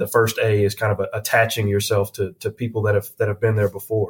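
Somewhat breathy and fairly low in pitch, a man talks at a fairly quick pace in a Southern US accent. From US South, Tennessee (near Nashville). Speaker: healthcare executive. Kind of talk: interview. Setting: studio. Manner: halting, repeats words.

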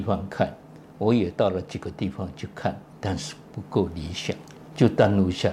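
A man's fairly low, somewhat breathy voice at a fairly slow pace. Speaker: retired pediatric cardiologist and professor. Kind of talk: interview.

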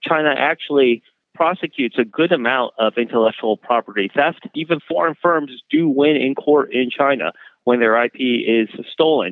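An unremarkable speaking voice, a man's, sits fairly high in pitch, with ordinary pitch variation and a moderate pace. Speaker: law professor. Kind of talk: interview clip.

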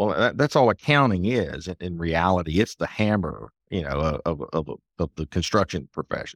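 A man with a Southern US accent speaks at a moderate pace with a very deep, low pitch and ordinary pitch variation, in a dry, close sound with no echo on a very clean recording with a silent background. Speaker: accountant, author, speaker. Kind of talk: casual interview conversation.

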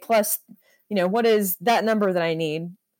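A woman speaks at a fairly quick pace in a medium pitch, with an ordinary speaking voice. The recording is very clean, with a silent background. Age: 30s. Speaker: photographer. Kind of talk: casual chat.

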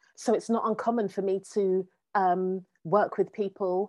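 A woman with a dark, mellow tone, medium pitch, fairly even intonation and a fairly slow pace, against a quiet background. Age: 40s. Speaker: coach and educator, former social worker. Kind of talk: interview conversation.

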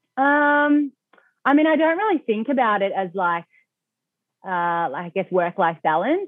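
With an Australian accent and a fairly high pitch, a woman speaks at a fairly slow pace with very wide pitch swings and long, frequent pauses. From Australia, Melbourne. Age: 20s. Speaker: e-commerce founder. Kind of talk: interview.

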